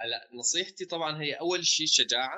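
Speaking at a fairly slow pace, a man with fairly high pitch shows ordinary pitch variation. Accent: Homs. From Homs, Syria. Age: 20s. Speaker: young politician and bank trainee. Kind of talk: casual interview chat.

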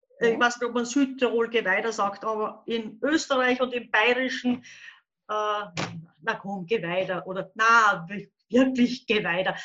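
A woman talks at a fairly slow pace with a fairly high pitch and ordinary pitch variation. Her tone is bright and sharp, and the background is quiet. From Upper Austria, near the Bavarian border. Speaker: children's book and crime author, illustrator. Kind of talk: casual interview.

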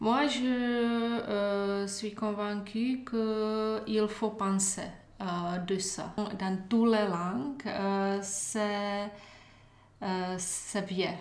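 A woman at a medium pitch with a Czech accent, very slow and fairly even in intonation, with audible room echo. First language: Czech (speaking French). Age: 40s. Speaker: former government official, EU agency communications chief. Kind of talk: interview. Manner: halting.

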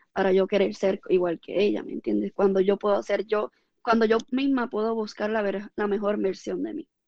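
The delivery is fairly quick. It is a normal speaking voice. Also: woman. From Puerto Rico, Ponce area. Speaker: fitness coach and former athlete. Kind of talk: interview.

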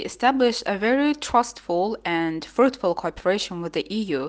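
A woman with an Azerbaijani accent, fairly high pitch and very wide pitch swings, at a fairly slow pace against a quiet background. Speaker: linguist. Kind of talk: interview answers.

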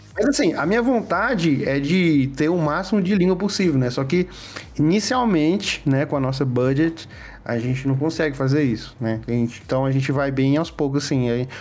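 Using an unremarkable speaking voice, a man talks at a moderate pace with a fairly high pitch, lively intonation and very even loudness. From Piauí, Brazil (Piripiri). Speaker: game developer. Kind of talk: casual interview chat.

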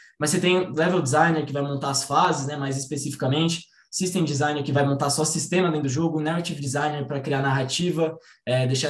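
A man's fairly high, monotone voice at a very fast pace, with noticeable background noise. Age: 20s. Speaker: game designer. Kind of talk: online talk presentation.

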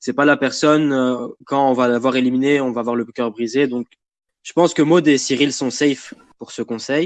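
A man speaks in an ordinary speaking voice, at medium pitch and a moderate pace. His intonation stays fairly even, and the sound is dry and close with no echo. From Lebanon. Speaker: reality game fan. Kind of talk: casual chat.

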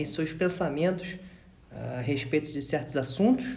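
A man speaks at a moderate pace in a fairly high pitch. Audible room echo surrounds his voice. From Rio de Janeiro. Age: 20s. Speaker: podcast panelist, finance professional. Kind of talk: casual group discussion.

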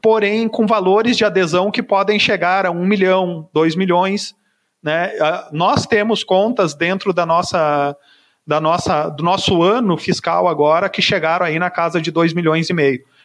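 Against a quiet background, the speech unfolds at a fairly slow pace with ordinary pitch variation. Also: man, high pitch for a man. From southern Brazil, Caxias do Sul (Rio Grande do Sul). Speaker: software sales manager. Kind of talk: podcast interview.

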